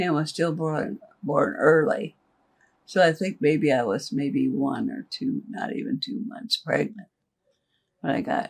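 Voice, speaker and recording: A woman with an American accent speaks at a medium pitch with vocal fry. Her pitch swings very widely, and she takes long, frequent pauses. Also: fairly slow pace. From Nebraska, US Midwest. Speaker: retired worker. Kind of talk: interview. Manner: plain-spoken, short answers.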